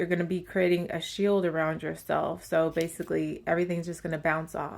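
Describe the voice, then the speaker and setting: This woman's voice sits fairly low in pitch. The recording is very clean, with a silent background. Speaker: tarot reader. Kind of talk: channeled tarot reading. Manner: casual, filler-heavy.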